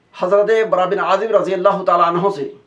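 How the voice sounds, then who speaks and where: Speaking with a high pitch, a man keeps his intonation fairly even. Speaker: Islamic preacher / religious scholar. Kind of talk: religious sermon / lecture.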